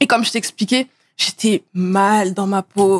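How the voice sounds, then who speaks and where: Ordinary pitch variation from a woman, set against a quiet background. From Paris region (Seine-Saint-Denis), France; Paris region, France. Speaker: model and influencer; podcast guest. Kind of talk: casual interview. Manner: hesitant, many fillers. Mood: calm, reflective. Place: studio. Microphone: studio mic.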